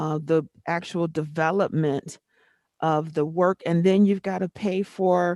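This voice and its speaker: Against a quiet background, a woman speaks with a dark, mellow tone and fairly even intonation. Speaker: school board chair. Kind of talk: board meeting discussion. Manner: loud.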